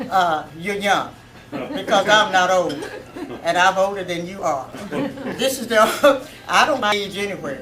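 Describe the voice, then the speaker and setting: Over noticeable background noise and audible room echo, a woman at a medium pitch speaks at a fairly slow pace with lively intonation and long, frequent pauses. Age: 80s+. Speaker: family member giving a toast. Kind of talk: birthday party speech. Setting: party with audience.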